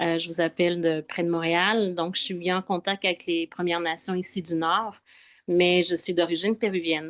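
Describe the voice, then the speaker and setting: Someone speaks with a Quebec accent at a moderate pace, in a monotone, flat intonation. The sound is dry and close, with no echo. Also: woman, fairly low pitch for a woman. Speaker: spiritual travel guide. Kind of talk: casual chat. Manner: hesitant, many fillers.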